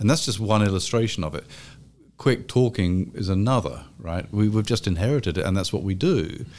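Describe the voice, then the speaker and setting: A man with an English accent talks at a fairly quick pace, his fairly low pitch carrying lively intonation. The recording is very clean, with a silent background. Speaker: history professor. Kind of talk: academic panel conversation.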